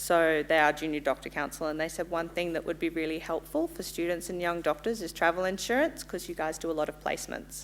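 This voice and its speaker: Speaking very fast in an Australian accent, a woman with a fairly low pitch and vocal fry keeps her intonation fairly even. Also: hardly any pauses. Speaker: insurance company representative. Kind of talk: sales pitch. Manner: loud; casual, friendly.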